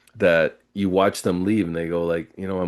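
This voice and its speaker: Against a quiet background, a man with a very deep, low pitch speaks at a moderate pace. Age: 60s. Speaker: podcast host and massage therapist. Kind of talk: casual interview conversation.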